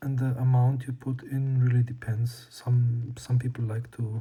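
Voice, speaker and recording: A fairly slow delivery with a non-native accent. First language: not English. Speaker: lens restoration hobbyist. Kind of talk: tutorial. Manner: hesitant, many fillers.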